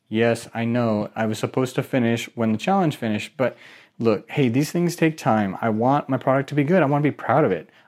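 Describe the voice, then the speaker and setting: A man with a normal speaking voice talks at a medium pitch and fairly quick pace, with ordinary pitch variation, in a very clean recording with a silent background. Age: 30s. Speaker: podcast host, aspiring online marketer. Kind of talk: solo podcast update. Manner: casual.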